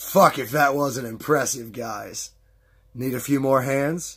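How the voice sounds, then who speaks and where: A man puts on a raspy character voice at a medium pitch, speaking at a fairly slow pace. His intonation is fairly even, and the recording is very clean with a silent background. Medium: read story. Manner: cocky, crude.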